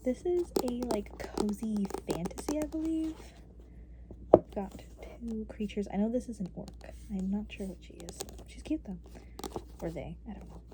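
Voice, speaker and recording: Soft-spoken speech comes at a moderate pace with long, frequent pauses over noticeable background noise. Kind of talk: ASMR book-reading video, casual talk to camera.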